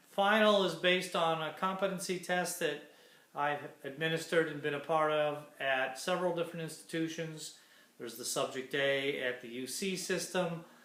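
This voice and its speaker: Amid audible room echo, a man with a fairly high pitch speaks at a moderate pace with ordinary pitch variation. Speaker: college instructor. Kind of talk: recorded class lecture. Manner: hesitant, many fillers.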